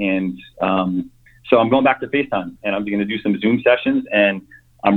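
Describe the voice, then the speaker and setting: A man talks at a fairly quick pace and fairly low pitch in an ordinary speaking voice. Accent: American. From New York. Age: 40s. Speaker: personal trainer. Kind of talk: casual interview chat. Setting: remote call.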